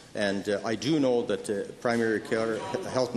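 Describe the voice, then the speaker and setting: A man at a medium pitch over noticeable background noise. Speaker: premier answering questions in the legislature. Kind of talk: formal legislature answer. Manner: hesitant, with frequent filler words.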